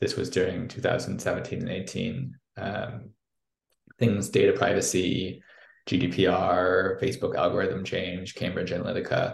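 Speaking at a fairly slow pace, a man has a Midwestern accent. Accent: American, Midwestern. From US Midwest (St. Louis). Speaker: product executive at a news tech startup. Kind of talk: casual interview. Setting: video call.

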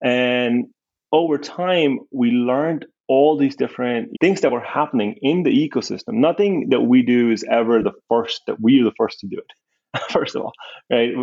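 Here is a man with a plain, everyday voice at a medium pitch. He keeps a moderate pace and ordinary pitch variation. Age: 30s. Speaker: business founder and CEO. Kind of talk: interview. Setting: video call. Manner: conversational, frequent tag questions.

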